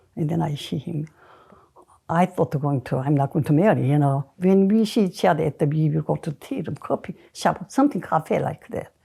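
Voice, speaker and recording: A woman with a Korean accent speaks very deep and low, somewhat breathy, with a dark, mellow tone. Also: lively intonation, moderate pace. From South Korea. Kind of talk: interview answer.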